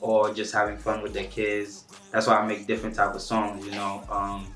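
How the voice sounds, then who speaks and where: In a Haitian accent, a man speaks at a moderate pace and fairly low pitch with monotone, flat intonation, amid audible room echo and noticeable background noise. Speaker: rapper. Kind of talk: interview.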